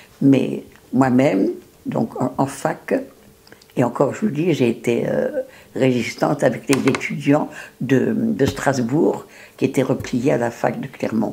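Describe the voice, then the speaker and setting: A woman speaks at a very slow pace with long, frequent pauses. Noticeable background noise is present. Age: 90s. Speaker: retired teacher, wartime resistance member. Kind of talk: oral history interview. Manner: halting, with many hesitations.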